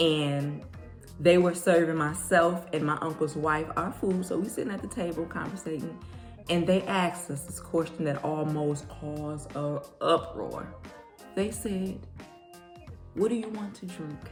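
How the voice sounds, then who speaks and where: Over music in the background, a woman with a fairly low pitch speaks at a fairly slow pace. Her pitch varies in an ordinary way, while her loudness swings widely. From Detroit, Michigan. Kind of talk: casual talk to camera.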